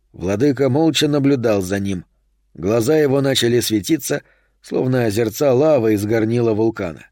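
In a quiet setting, someone reads aloud with an unforced voice.

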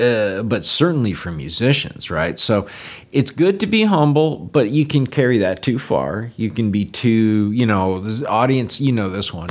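A man talks in a normal speaking voice at a medium pitch and moderate pace, with lively intonation. The recording is very clean, with a silent background. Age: 50s. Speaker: jazz guitarist and steel guitarist. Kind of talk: interview.

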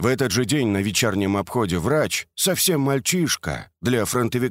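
The clip features plain reading aloud against a quiet background.

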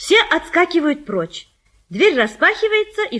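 Big pitch swings mark this bright, sharp voice at a moderate pace. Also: woman.

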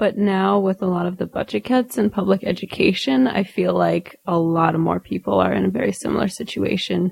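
Dry and close with no echo, the voice carries a Midwestern American accent at a fairly quick pace with hardly any pauses and very even loudness. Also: woman. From rural Indiana, US Midwest. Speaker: political theory academic. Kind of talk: interview.

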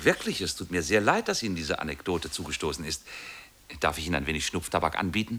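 Putting on a character voice, a man talks fast in a low, bright and sharp tone with big pitch swings.

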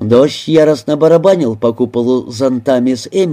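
The pitch shifts in an ordinary way. It is plain reading aloud.

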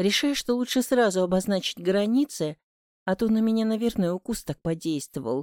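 The background is kept quiet. Over it, a natural voice reads aloud.

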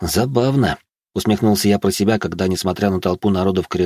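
With ordinary pitch variation, the speaker is reading aloud in a natural voice over a quiet background.

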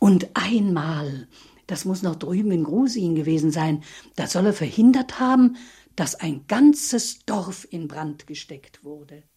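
A woman's put-on character voice, fairly low in pitch with a dark, mellow tone and a slightly husky edge, lively intonation, a fairly slow pace and few pauses

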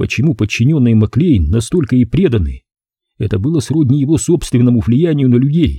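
With quiet all around, a natural voice reads aloud, its intonation lively.

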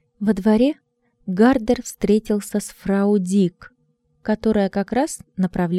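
The background is quiet around a natural reading voice.

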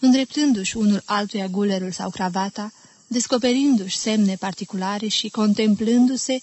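Someone reads in a natural reading voice, using ordinary pitch variation.

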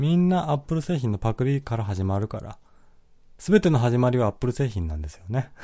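Loudness swings widely and pitch ranges very broadly at a fairly quick pace. The tone is dark and mellow, somewhat breathy, over a quiet background. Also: man, medium pitch for a man. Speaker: podcast host reading listener comments. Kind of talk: casual solo talk. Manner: frequent laughter, relaxed.

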